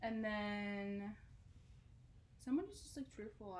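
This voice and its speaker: Audible room echo and noticeable background noise fill the recording. A woman of medium pitch speaks with an American accent. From South Jersey. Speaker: podcast co-host. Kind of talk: casual chat.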